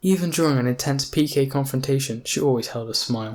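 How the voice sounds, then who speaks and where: A man with an unremarkable speaking voice, at medium pitch and a fairly quick pace, with fairly even intonation, on a very clean recording with a silent background. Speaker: audiobook narrator. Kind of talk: audiobook narration of a novel.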